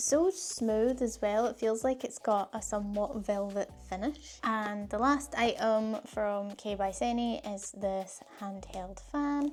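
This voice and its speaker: A woman's fairly high voice with ordinary pitch variation, at a very slow pace with hardly any pauses. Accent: Scottish. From Scotland. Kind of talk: casual unboxing talk to camera.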